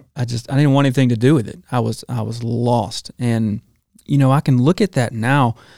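Speaking with an Alabama accent at a moderate pace, a man has a medium-pitched voice with ordinary pitch variation, a dark, mellow tone and a dry, close sound with no echo. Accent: Southern US (Alabama). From US South, Alabama. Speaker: chef. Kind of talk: testimony.

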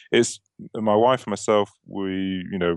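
A man with a British accent talks at a fairly low pitch, the sound dry and close with no echo against a quiet background. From UK. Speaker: software company representative. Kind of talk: casual chat. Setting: studio.

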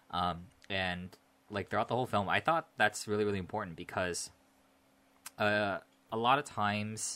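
An American man with a fairly low pitch and a bright, sharp tone speaks with ordinary pitch variation, leaving long, frequent pauses, in a very clean recording with a silent background. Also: moderate pace. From US West Coast, Northern California. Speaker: podcast co-host, film reviewer. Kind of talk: casual chat. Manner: laughs often, relaxed.

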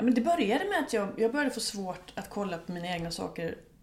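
A woman with a medium pitch speaks at a fairly quick pace against noticeable background noise. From Sweden, Gothenburg suburb. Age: 40s. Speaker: music journalist and author. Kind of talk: casual interview. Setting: home kitchen. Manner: animated.

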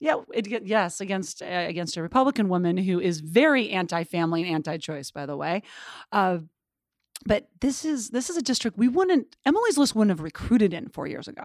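In a very clean recording with a silent background, a woman's voice makes very wide pitch swings and big swings in loudness. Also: medium pitch for a woman, fairly quick pace. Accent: American. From Montana. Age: 40s. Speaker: political organization president. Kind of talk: interview. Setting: office building.

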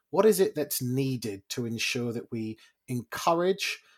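A man at a medium pitch and moderate pace, with a normal speaking voice, lively intonation and a dry, close sound with no echo. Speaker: podcast host. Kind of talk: casual interview chat.

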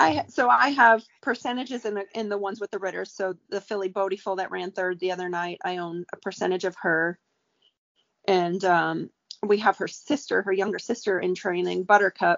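A woman's normal speaking voice with an American accent, medium in pitch, at a moderate pace and with ordinary pitch variation. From New York, Staten Island. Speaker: racehorse trainer. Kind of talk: casual chat.

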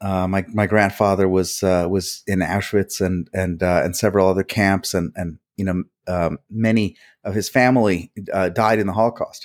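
With an American accent, this man has an ordinary speaking voice, fairly low in pitch, at a moderate pace, on a very clean recording with a silent background and a dry, close sound with no echo. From New Jersey, US. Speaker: communications firm president. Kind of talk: casual chat.

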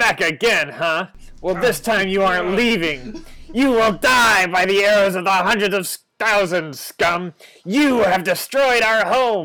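A man shouts in a put-on character voice at a high pitch. His pace is fairly slow. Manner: shouting, threatening.

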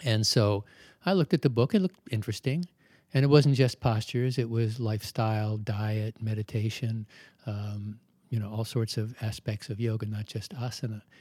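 A man's somewhat breathy voice, dark and mellow in tone, at a medium pitch with ordinary pitch variation and a moderate pace, in a dry, close sound with no echo on a very clean recording with a silent background. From Maryland, US (Baltimore). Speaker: yoga teacher. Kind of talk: interview.

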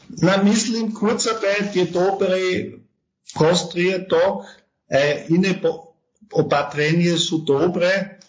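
Pausing long and often, a man with a high pitch talks at a very slow pace and fairly even intonation, with audible room echo. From Austria. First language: German (speaking Slovak). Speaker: tax advisory firm partner. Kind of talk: interview. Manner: halting, with many hesitations.

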